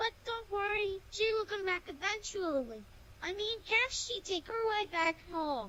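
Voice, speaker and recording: A cartoonish character voice speaks at an extremely high pitch and a moderate pace. Background noise is clearly heard. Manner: upbeat, easygoing.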